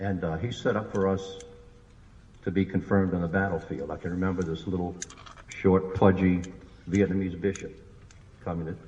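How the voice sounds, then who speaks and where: Against noticeable background noise, a man with a very deep, low pitch talks at a fairly quick pace in a monotone, flat intonation, leaving long, frequent pauses. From New Orleans, Louisiana. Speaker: war veteran. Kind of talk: public speech.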